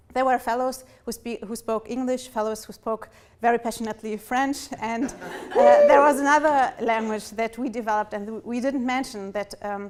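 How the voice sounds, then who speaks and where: In a German accent, a woman speaks at a moderate pace with a fairly high pitch and fairly even intonation. Noticeable background noise runs underneath. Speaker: fellowship participant. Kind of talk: speech. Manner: halting.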